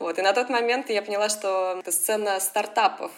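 A woman talks at a medium pitch, and her pitch varies in an ordinary way. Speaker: advertising sales professional. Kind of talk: interview.

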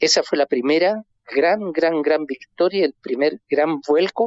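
A man talks at a fairly slow pace with ordinary pitch variation. It is an unremarkable speaking voice. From Chile. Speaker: historian. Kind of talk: phone interview.

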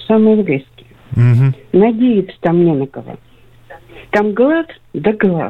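Long, frequent pauses break up a woman's very slow speech. Her medium pitch swings very widely. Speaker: caller. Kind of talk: phone-in call. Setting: phone call.

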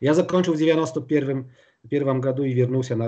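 Here a man speaks with a Polish accent and a dark, mellow tone. The background is quiet. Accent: Polish accent in Russian. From eastern Poland, Białystok. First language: Polish (speaking Russian). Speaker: flooring industry executive. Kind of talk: interview. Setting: remote call from home.

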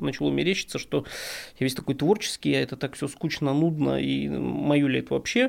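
Here a man is heard in a very clean recording with a silent background. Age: 40s. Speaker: entrepreneur and writer, runs a law firm. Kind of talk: casual interview chat. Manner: halting, many fillers.

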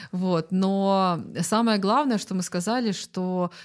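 At a very slow pace, a woman of medium pitch speaks with ordinary pitch variation on a very clean recording with a silent background. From Belarus, Zhodzina. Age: 30s. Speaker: food community organizer. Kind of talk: casual chat.

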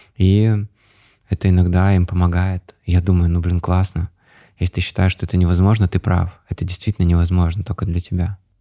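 With a dark, mellow tone and a very deep, low pitch, a man talks in a monotone, flat way in a dry, close, very clean recording with a silent background and no echo. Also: fairly quick pace. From Russia, Chelyabinsk region (Ozyorsk). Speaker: entrepreneur. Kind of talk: interview. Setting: studio.

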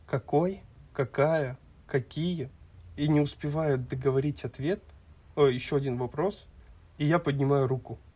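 Somewhat breathy and fairly high-pitched, a man talks at a fairly slow pace with ordinary pitch variation. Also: long, frequent pauses. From Kazakhstan, Almaty. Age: 20s. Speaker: podcast co-host. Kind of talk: casual chat.

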